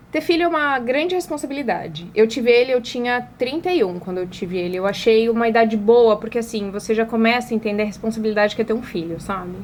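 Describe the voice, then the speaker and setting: A woman speaks very fast in a fairly high pitch, her voice making very wide pitch swings. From Brazil, Paraná. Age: 30s. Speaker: advertising agency owner and influencer. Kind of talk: interview conversation.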